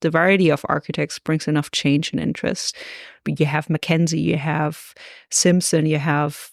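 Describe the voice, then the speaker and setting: A woman with a German accent speaks at a moderate pace in a very deep, low pitch. The recording is very clean with a silent background and a dry, close sound with no echo. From Germany, Augsburg, Bavaria. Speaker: golf course architect. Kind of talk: podcast interview.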